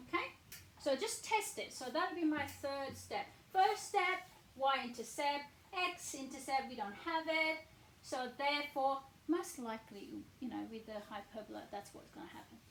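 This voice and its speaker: A woman speaks at a high pitch with very wide pitch swings and big swings in loudness, amid noticeable background noise and audible room echo. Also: moderate pace. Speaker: maths teacher. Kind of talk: tutorial.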